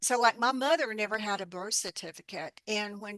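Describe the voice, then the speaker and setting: Bright and sharp in tone, a woman's fairly high voice with ordinary pitch variation sounds dry and close with no echo over a quiet background. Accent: Appalachian. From Appalachia, US South (Alabama). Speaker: herbalist and author. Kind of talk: interview. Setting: radio interview.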